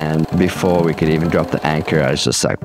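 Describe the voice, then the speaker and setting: Clear music plays in the background as a man talks at a fairly quick pace in a very deep, low pitch with fairly even intonation. The sound is dry, with no echo. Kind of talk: interview answer. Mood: relaxed, soft-spoken storytelling. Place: home room. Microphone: lapel.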